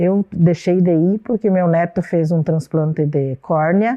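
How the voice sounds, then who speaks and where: A woman with a fairly low pitch and fairly even intonation speaks in an ordinary speaking voice. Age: 60s. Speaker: grandmother, senior hip hop dancer. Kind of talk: documentary interview.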